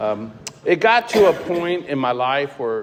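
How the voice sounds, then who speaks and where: Speech with an American accent amid noticeable background noise. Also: man. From US Midwest, Cincinnati, Ohio. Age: 60s. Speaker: recovering alcoholic speaker. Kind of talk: recovery testimony. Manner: casual, halting with fillers.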